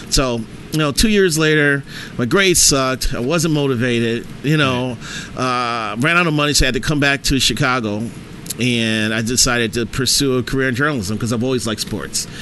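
A man with an American accent at a medium pitch, fairly quick pace and ordinary pitch variation, with noticeable background noise. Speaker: sports writer. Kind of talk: casual chat.

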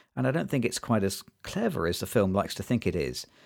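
A man talks at a fairly quick pace with vocal fry, in a very clean recording with a silent background. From Britain. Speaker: podcast host, film discussion. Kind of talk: casual chat, film review podcast. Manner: comedic, laughs often.

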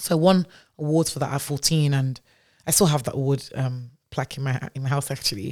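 A woman with a very deep, low pitch and ordinary pitch variation speaks at a fairly quick pace in a very clean recording with a silent background. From Nigeria. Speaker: startup founder. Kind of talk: casual interview chat.

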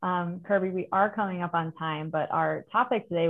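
With ordinary pitch variation, a woman speaks in a fairly low pitch and has an unremarkable speaking voice. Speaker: podcast host. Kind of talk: interview.

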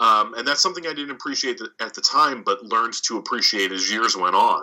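Speaking fairly quickly, a man talks in an American accent. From US, Philadelphia area. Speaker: podcaster. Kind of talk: casual chat.

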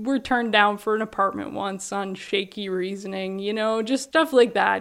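An unremarkable speaking voice, a woman's at medium pitch with ordinary pitch variation and a moderate pace, on a very clean recording with a silent background. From Canada, Prince Edward Island. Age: 30s. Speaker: interviewee. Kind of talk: interview.

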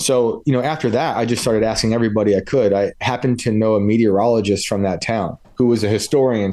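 A man with an American accent speaks at a fairly quick pace in a dark, mellow tone, medium in pitch with ordinary pitch variation, against a quiet background. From New York state, US. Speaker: author and podcaster. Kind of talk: casual interview.

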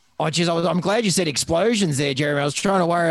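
At a very fast pace, a man with an Australian accent speaks in a high voice with ordinary pitch variation. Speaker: veterinarian. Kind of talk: casual chat. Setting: video call.

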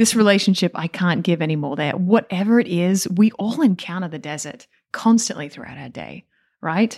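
A woman with an Australian accent and a dark, mellow tone speaks fairly quickly at a medium pitch with ordinary pitch variation, in a very clean recording with a silent background. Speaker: nun and podcast co-host.

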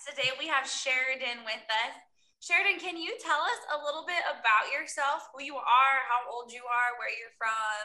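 A woman with an American accent projects a raised voice at a high pitch with a bright, sharp tone. She keeps a moderate pace while her loudness swings widely. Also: ordinary pitch variation. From US Midwest, Iowa. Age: 30s. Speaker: podcast host. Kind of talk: interview.

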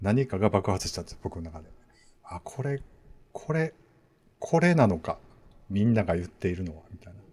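A man with a fairly low, somewhat breathy voice makes very wide pitch swings and big swings in loudness, leaving long, frequent pauses. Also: fairly quick pace. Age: 40s. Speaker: podcast host. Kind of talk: casual chat.

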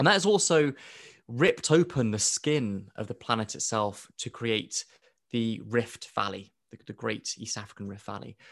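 This man speaks with a British accent at a moderate pace. His intonation is lively, and his loudness swings widely. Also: medium pitch for a man. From Kenya (Nairobi), born in UK. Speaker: astrobiology professor and author. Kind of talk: interview.

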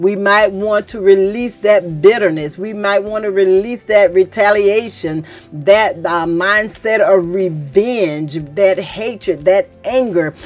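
The pace is very slow, with ordinary pitch variation. Noticeable background noise sits behind the voice. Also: woman, medium pitch for a woman. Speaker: church podcast host. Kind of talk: sermon-style religious teaching. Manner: animated, gets louder when excited; halting, with fillers.

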